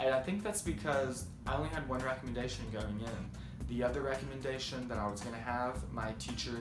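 Speech at a moderate pace runs over clear music in the background. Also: man. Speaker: student vlogger. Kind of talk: casual vlog chat. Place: home room. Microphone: phone near.

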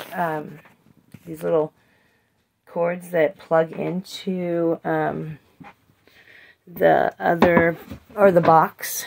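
Over light background noise, a woman speaks at a very slow pace. Her speech has long, frequent pauses. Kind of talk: casual vlog tutorial. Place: shop. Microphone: phone near.

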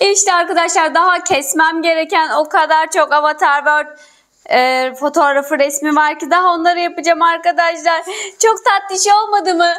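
A woman with an extremely high pitch speaks at a fairly slow pace with ordinary pitch variation, against a quiet background. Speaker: craft video host. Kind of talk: casual tutorial chat to viewers. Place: home room. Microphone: lapel.

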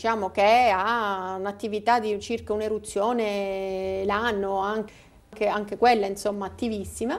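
A woman speaks at a very slow pace. Her intonation stays fairly even. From Sicily, Palermo; Sicily. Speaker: volcanologist; guest. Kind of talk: interview. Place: studio. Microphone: lapel.

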